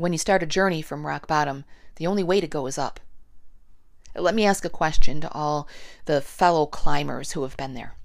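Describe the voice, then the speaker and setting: A woman with a very deep, low pitch and a warm tone speaks at a fairly quick pace, with ordinary pitch variation, big swings in loudness and long, frequent pauses. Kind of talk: spoken word poetry, reflective personal monologue. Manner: warm, inspirational and confiding, building to a rallying close.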